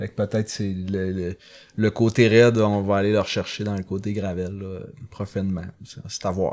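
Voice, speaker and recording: A man with a Saguenay–Lac-Saint-Jean accent, fairly low in pitch, flat and monotone in intonation, at a moderate pace. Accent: Québécois French, Saguenay–Lac-Saint-Jean. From Quebec, Lac-Saint-Jean. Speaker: amateur mountain bike racer. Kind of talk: casual chat. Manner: halting, many repetitions.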